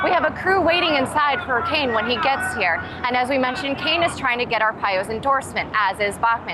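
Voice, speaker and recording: A woman talks very fast in a high, raised, projected voice. Music plays in the background. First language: English or Spanish (bilingual). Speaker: broadcast journalist, reporter. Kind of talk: TV news reporting, stand-up and voiceover.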